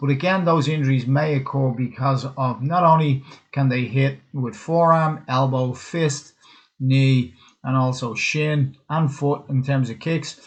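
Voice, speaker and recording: Somewhat breathy, a man with a Dublin accent speaks at a fairly slow pace with fairly even intonation. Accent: Dublin Irish. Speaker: cutman and physical therapist giving a webinar. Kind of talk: webinar presentation. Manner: casual, hesitant with fillers.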